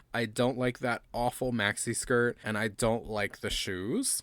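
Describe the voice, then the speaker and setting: The sound is dry and close with no echo, though background noise is noticeable. A man speaks at a fairly slow pace. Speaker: doll collector YouTuber. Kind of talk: casual chat.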